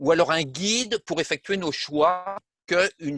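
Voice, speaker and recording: Over music in the background, a man speaks at a fairly slow pace with a high pitch and ordinary pitch variation. The sound is dry and close, with no echo. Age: 70s. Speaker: retired armament engineer. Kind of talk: interview. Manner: hesitant, many fillers.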